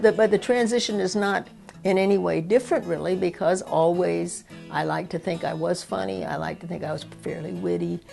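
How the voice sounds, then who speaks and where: A woman speaks at a fairly quick pace. Behind her, music is playing. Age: 60s. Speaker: stand-up comedian, sociologist. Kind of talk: interview answer.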